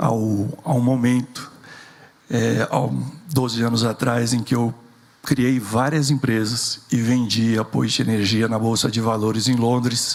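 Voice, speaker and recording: Noticeable background noise surrounds a man speaking at a medium pitch and a very slow pace. His intonation is fairly even and his loudness very even. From rural interior of São Paulo state, Brazil. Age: 60s. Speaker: entrepreneur and engineer. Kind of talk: keynote talk.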